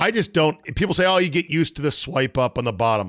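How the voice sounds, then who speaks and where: A man's animated, fairly quick voice with vocal fry and very wide pitch swings. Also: dry, close sound with no echo, very clean recording, silent background. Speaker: sports podcast host. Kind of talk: casual chat with ad reads. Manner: animated, talkative.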